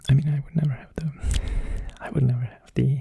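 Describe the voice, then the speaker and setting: A soft-spoken man with a medium pitch talks in a relaxed, calm tone that is somewhat breathy, with ordinary pitch variation. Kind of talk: ASMR ramble.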